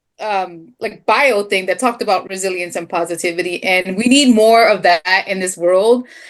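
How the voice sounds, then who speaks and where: A woman's intonation is lively as she talks at a moderate pace. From Philadelphia, US East Coast. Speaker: fellow author. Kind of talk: casual chat.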